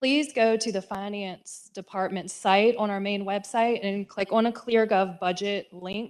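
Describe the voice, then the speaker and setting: A woman speaks at a fairly slow pace in an unremarkable speaking voice, medium in pitch with fairly even intonation. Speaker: county finance director. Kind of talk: budget presentation at public meeting. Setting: county board meeting.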